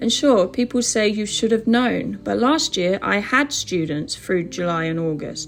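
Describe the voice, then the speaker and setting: A woman with a British accent at medium pitch, lively in intonation and fairly slow in pace, with music in the background. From England. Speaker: online English teacher and vlogger. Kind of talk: personal vlog monologue.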